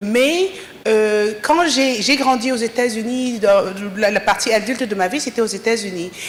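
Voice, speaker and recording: A woman's fairly high voice with ordinary pitch variation at a fairly slow pace, against noticeable background noise. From Africa. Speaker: audience member, doctor. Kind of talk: audience comment at panel.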